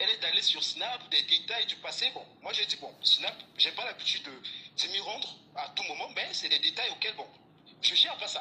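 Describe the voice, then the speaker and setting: Spoken at a moderate pace in a Gabonese accent, the voice swings widely in loudness over noticeable background noise. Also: man. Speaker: caller. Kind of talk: call-in testimony. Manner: halting.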